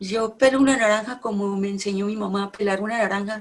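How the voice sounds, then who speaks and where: This woman's pitch is fairly high, with ordinary variation. Her voice is somewhat breathy. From Colombia. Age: 60s. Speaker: poet and novelist. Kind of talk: conversation about poetry.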